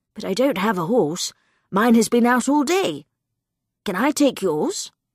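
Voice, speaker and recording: A put-on character voice, fairly high in pitch, at a moderate pace, in a very clean recording with a silent background. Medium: read story.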